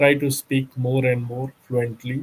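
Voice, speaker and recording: A man with a medium-pitched, somewhat breathy voice speaks at a fairly slow pace. His intonation is monotone and flat. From India, Bihar. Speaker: company secretary. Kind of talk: interview. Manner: halting, many fillers.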